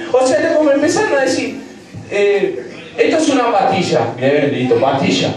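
A man speaks at very even loudness. Strong room echo and light background noise surround him. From Argentina. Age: 20s. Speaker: stand-up comedian. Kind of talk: stand-up comedy, crude and rapid-fire, peppered with slang and swearing. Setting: stage with audience, piano bar. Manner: irreverent, joking with the crowd, dramatized bits. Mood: playful, joking. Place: bar.

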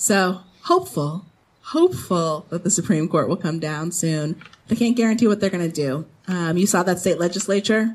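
A woman speaks in a somewhat breathy voice at a fairly low pitch. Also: ordinary pitch variation, moderate pace. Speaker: lawyer. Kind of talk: panel discussion. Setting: stage with audience. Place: garden. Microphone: handheld.

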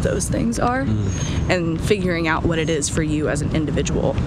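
Moderate pace, dry sound with no echo, and loud background noise. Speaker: interview guest. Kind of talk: interview answer. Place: street. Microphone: phone near.

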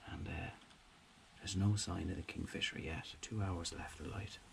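There is noticeable background noise behind this man. His very deep, low voice moves at a moderate pace. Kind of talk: casual vlog chat. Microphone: phone near.

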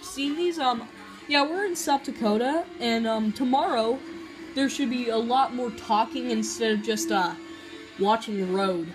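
The talking keeps a moderate pace. Behind it, clear music can be heard in the background. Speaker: young vlogger. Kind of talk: casual vlog chat. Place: home room. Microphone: phone near.

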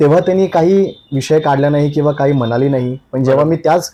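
A man speaks in a dark, mellow tone. His pitch shows ordinary variation. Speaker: stage anchor and actor. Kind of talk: interview storytelling.

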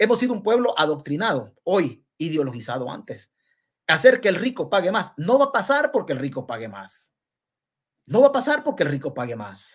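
An animated voice with a Salvadoran accent, very wide pitch swings and a moderate pace, on a very clean recording with a silent background. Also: man, high pitch for a man. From El Salvador. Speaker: political commentator. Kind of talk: live-stream political commentary. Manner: halting.

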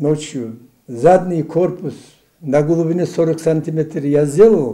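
Against a quiet background, a man speaks at a moderate pace in a dark, mellow tone. His pitch varies in an ordinary way. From Dagestan, Khasavyurt district. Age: 80s+. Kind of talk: interview answer. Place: office.

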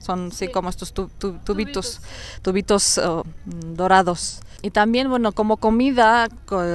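A woman speaks with a Russian accent at a fairly slow pace. Her intonation is fairly even, and the sound is dry with no echo. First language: Russian (speaking Spanish). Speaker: YouTuber. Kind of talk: casual interview. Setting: outdoors in a park. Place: forest. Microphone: lapel.

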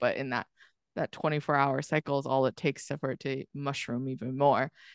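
Against a quiet background, the speaker uses an American accent at a moderate pace, the sound dry with no echo. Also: woman. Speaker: podcast guest. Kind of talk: casual interview. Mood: reflective, earnest. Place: home room. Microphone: studio mic.

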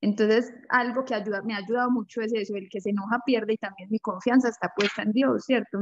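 A woman talks at a fairly quick pace and a medium pitch, keeping her intonation fairly even. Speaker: group participant. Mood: reflective, calm. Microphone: video call.

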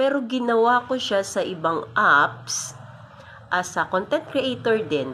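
A woman's voice with very wide pitch swings. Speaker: content creator. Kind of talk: casual vlog monologue. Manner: breathy, sounds out of breath while talking; unscripted, spontaneous.

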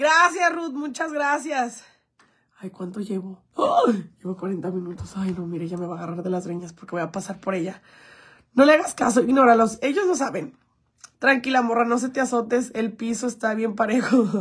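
A woman speaks in an animated tone at a fairly high pitch, with very wide pitch swings. Her loudness swings widely against a quiet background. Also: moderate pace. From Mexico, Jalisco. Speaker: influencer; livestreamer. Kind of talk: livestream chat. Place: home room. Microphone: phone near.

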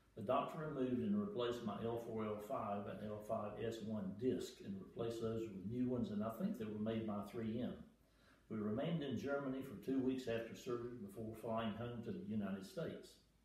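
Amid audible room echo, a man speaks at a fairly quick pace. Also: ordinary pitch variation. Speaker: retired airline pilot. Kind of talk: patient testimonial read from notes. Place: home room. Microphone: camera far.

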